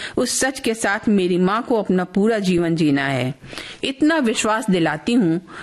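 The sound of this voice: Lively intonation in an unforced reading voice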